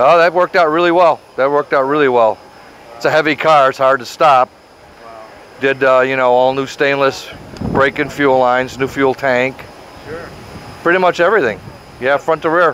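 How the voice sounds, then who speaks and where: A man talks at a moderate pace with fairly even intonation and long, frequent pauses, in a dry sound with no echo and light background noise. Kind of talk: interview answer. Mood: relaxed, proud. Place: street.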